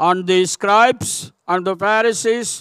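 A man with a high voice speaks very slowly. The sound is dry with no echo, and the background is quiet. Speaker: preacher. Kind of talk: sermon. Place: church. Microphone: podium.

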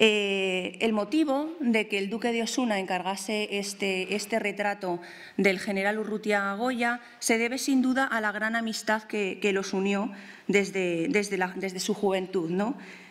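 Speaking at a fairly slow pace, a woman uses ordinary pitch variation. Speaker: art historian and museum researcher; art researcher lecturer. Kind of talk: lecture. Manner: hesitant with fillers and repetitions. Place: hall. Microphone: podium.

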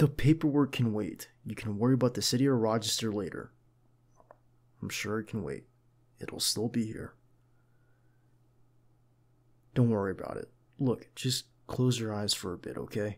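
Moderate pace from a man, with long, frequent pauses and big swings in loudness, against a quiet background. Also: ordinary pitch variation. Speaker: voice actor playing a bodyguard. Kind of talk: roleplay monologue. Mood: caring, firm, gentle.

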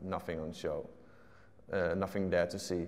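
This man speaks with a fairly low pitch. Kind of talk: interview answer. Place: hall. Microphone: lapel.

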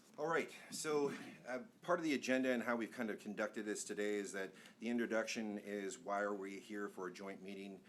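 Amid audible room echo, a man speaks at a fairly quick pace with fairly low pitch and ordinary pitch variation. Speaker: planning consultant presenting to city council. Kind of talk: presentation at public meeting. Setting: council chamber meeting. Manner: fast.

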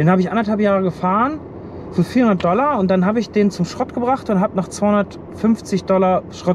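Against noticeable background noise, a man talks at a moderate pace, and the sound is dry with no echo. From Germany. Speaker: truck driver and vlogger; vlogger. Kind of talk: casual vlog. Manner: halting. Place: car. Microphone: phone near.

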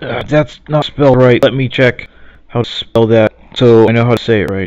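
In a dry sound with no echo and a quiet background, a man with an American accent talks at a moderate pace with fairly even intonation. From United States. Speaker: reader helping a friend. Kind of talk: casual talk to camera. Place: home room. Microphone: webcam.

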